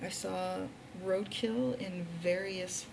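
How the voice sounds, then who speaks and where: Someone whispers amid audible room echo and noticeable background noise. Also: woman. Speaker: vlogger. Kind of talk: casual vlog monologue. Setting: hotel room. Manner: whispering.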